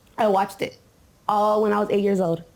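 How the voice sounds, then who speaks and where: A woman with a medium-pitched voice talks at a fairly quick pace. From US West Coast, Compton, California. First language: Spanish. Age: 20s. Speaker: interviewee. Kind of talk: interview.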